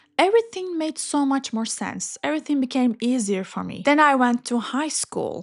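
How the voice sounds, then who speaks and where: With a Turkish accent, a woman speaks in a high pitch with very wide pitch swings and hardly any pauses. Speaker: English learning YouTuber. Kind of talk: personal storytelling. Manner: slow, clear.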